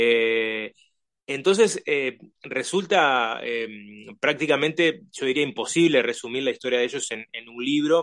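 Over a quiet background, a man speaks fairly slowly at a medium pitch with ordinary pitch variation and big swings in loudness. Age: 40s. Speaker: author and musician. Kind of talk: interview. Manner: halting, many fillers.

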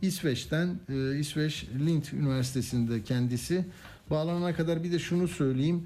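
At a moderate pace, a man speaks with very even loudness and a fairly high pitch. His tone is dark and mellow, with ordinary pitch variation. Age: 60s. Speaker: radio news host. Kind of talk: radio talk show.

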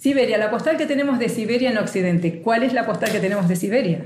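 A woman with a fairly high pitch and lively intonation speaks in a room with audible echo and noticeable background noise. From Argentina. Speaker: travel blogger. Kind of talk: interview.

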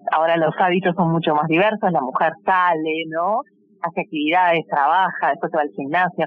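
A woman speaks fairly quickly, keeping her loudness very even and her intonation fairly even. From Uruguay. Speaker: fashion designer. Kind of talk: interview. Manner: halting.

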